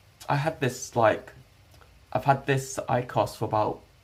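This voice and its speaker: A British accent marks this man's speech, pitched in the middle range. His intonation stays fairly even, with vocal fry throughout. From UK. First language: Hakka. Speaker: IRL streamer. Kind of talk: casual live stream chat. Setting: live stream at home. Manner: hesitant, many fillers.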